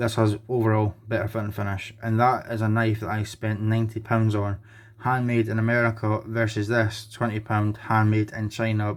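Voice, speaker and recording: Over a silent background in a very clean recording, a man with a Scottish accent talks in a fairly low pitch with monotone, flat intonation. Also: moderate pace. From Scotland. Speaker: knife collector and reviewer. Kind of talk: product review.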